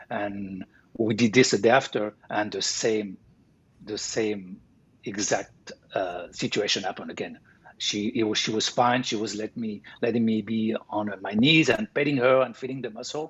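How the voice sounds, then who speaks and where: Speaking at a moderate pace in a French accent, a man uses fairly even intonation at a medium pitch. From France (Paris). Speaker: sculptor. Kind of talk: interview. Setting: live stream interview. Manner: halting.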